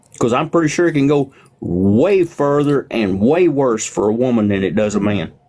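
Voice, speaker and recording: A man speaks at a moderate pace with a medium pitch and very wide pitch swings. His loudness stays very even, and background noise is noticeable. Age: 60s. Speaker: livestreamer. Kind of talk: casual chat.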